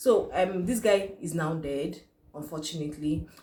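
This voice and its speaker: A woman with a Nigerian accent speaks at a fairly low pitch, somewhat breathy, with ordinary pitch variation. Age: young. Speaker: YouTuber. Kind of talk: vlog commentary.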